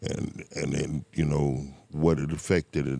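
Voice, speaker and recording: At a moderate pace, a man with an American accent speaks in a very deep, low voice with vocal fry and a dry, close sound with no echo. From Miami, Florida (Liberty City). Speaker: person in addiction recovery. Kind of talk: casual interview, life story.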